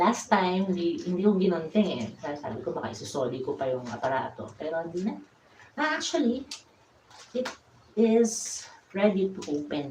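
Amid noticeable background noise and audible room echo, a woman at medium pitch speaks with very wide pitch swings. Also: moderate pace. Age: 50s. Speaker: DIY vlogger. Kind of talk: tutorial. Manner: casual.

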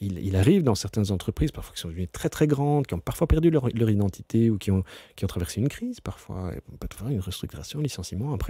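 Very fast, somewhat breathy speech with a dark, mellow tone, lively intonation and big swings in loudness, dry and close with no echo. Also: man. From Brussels, Belgium. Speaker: company CEO. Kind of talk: interview. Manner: halting, many fillers and repetitions.

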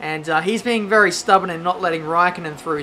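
With noticeable background noise, a woman speaks with an Australian accent at a fairly low pitch. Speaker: gaming YouTuber. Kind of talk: gameplay commentary. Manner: animated.

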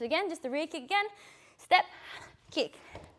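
A woman's energetic tone at a moderate pace, with noticeable background noise. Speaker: muay thai instructor. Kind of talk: fitness class instruction. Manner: energetic coaching cues.

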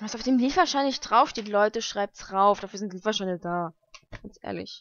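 Her tone fairly bright, a woman at a medium pitch talks at a moderate pace with ordinary pitch variation.

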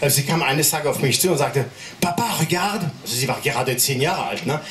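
A man speaks at a fairly quick pace with an animated, playful tone. There is light background noise and audible room echo. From France. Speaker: stand-up comedian. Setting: stage with audience. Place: stage.

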